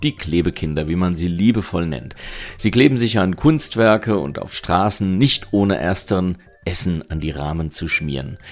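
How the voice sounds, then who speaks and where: Lively intonation runs through a man's very deep, low-pitched voice. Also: moderate pace. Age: 50s. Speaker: podcast host. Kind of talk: opinion commentary monologue.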